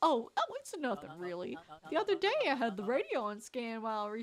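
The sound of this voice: The reading comes in an unforced reading voice.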